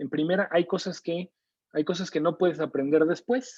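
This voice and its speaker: Speaking at a moderate pace in a Mexico City accent, a man shows ordinary pitch variation in a dry, close sound with no echo. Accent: Mexico City (chilango). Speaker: neuroscience lecturer and researcher. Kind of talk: online lecture. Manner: conversational, with frequent fillers.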